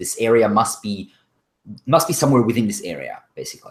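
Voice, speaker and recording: A man with a non-native accent, a medium pitch and vocal fry, at a moderate pace with very wide pitch swings. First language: not English. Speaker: game master. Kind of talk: tabletop role-play narration.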